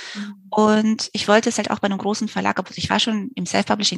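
A woman talks fairly quickly at a medium pitch, her voice somewhat breathy. The sound is dry and close, with no echo. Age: 40s. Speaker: novelist. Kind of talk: interview.

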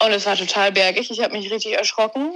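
Noticeable background noise fills the recording. Over it, a woman is talking. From Germany, Warendorf (Westphalia). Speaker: amateur eventing rider. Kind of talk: interview.

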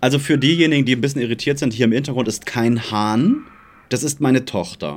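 This man talks at a fairly quick pace, his medium pitch moving with ordinary variation. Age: 30s. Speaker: podcast co-host. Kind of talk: casual chat.

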